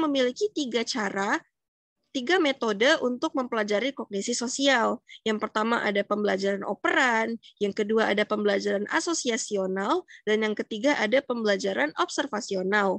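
A woman talks at a fairly quick pace in a plain, everyday voice, fairly high in pitch with lively intonation. The background is quiet and the sound is dry with no echo. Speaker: psychology student. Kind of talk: educational explainer. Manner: casual, conversational. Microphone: webcam.

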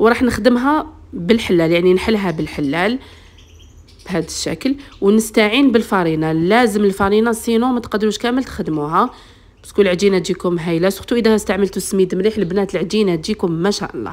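At a fairly quick pace, a woman with an Algerian accent talks at a medium pitch with ordinary pitch variation. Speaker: cooking channel host. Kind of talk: cooking tutorial. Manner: strained, speaking with effort.

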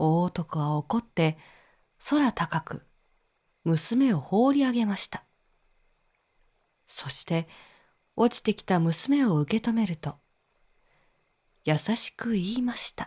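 Very slow, somewhat breathy speech with very wide pitch swings and long, frequent pauses, in a dry, close sound with no echo and a very clean recording with a silent background. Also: woman, medium pitch for a woman. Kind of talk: sleep story. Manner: soft-spoken, slow.

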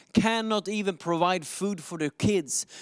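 This man's voice sits high in pitch, with a clear, smooth tone. His intonation stays fairly even.

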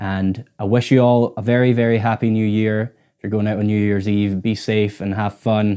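Speaking at a moderate pace with hardly any pauses, a man has a fairly low pitch, a dark, mellow tone and monotone, flat intonation over a quiet background. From Scotland, Orkney; Scotland. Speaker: guitarist and YouTuber; YouTuber. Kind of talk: casual vlog to camera. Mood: grateful, relaxed. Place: home room. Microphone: lapel.

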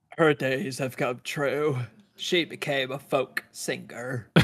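Using a put-on character voice, a man speaks fairly slowly in a raspy, medium-pitched tone. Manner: slow, dim-witted.

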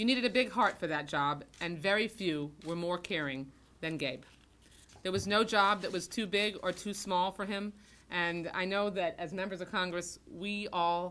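A woman speaks at a moderate pace. Her tone is bright and sharp. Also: ordinary pitch variation. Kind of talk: formal tribute speech. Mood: solemn, earnest. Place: meeting room. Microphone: podium.

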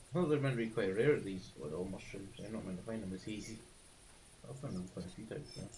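A man with a Scottish accent talks at a very fast pace in a fairly low pitch, his intonation lively and his loudness swinging widely. Noticeable background noise is present. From Scotland. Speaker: gaming streamer. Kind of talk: live gameplay commentary. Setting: live stream. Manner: halting.

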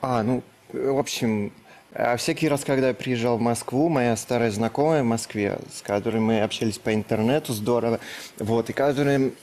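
A man's medium-pitched voice keeps a moderate pace, his intonation fairly even. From Russia, Kirov. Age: 20s. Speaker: bachelor contestant, blogger. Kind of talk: TV talk show interview. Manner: halting.

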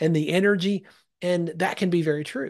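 A man speaks at a fairly quick pace in a high pitch. The background is quiet. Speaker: executive coach, leadership coach and pastor. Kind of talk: podcast interview answer. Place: home room. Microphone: studio mic.

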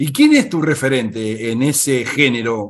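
Ordinary pitch variation from a man at a fairly slow pace. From Argentina. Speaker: interviewer; interviewer, host. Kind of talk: interview; interview questions. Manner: halting, repeats words. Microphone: video call.

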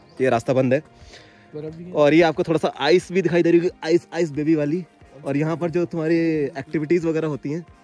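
A man speaks at a moderate pace in a dry sound with no echo, with faint music in the background. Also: long, frequent pauses. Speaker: travel vlogger. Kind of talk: casual vlog chat. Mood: cheerful, joking. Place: forest. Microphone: phone near.

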